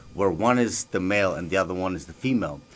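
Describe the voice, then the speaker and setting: Words come at a fairly quick pace in an Albanian accent, with ordinary pitch variation. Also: man. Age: 30s. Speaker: professional MMA fighter and war veteran. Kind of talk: radio interview. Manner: halting, many fillers.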